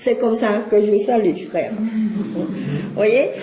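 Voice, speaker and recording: A woman's very slow speech in a Cambodian accent, with audible room echo and noticeable background noise. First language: Khmer (speaking French). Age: 60s. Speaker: lecturer and witness of exile. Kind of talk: public lecture.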